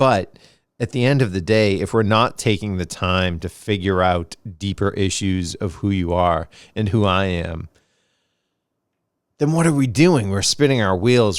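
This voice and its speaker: The voice has an American accent and moves at a fairly slow pace with ordinary pitch variation. The recording is very clean, with a silent background. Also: man. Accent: Boston accent, slight, slips occasionally. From Boston, US. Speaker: podcast host. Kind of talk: reflective monologue.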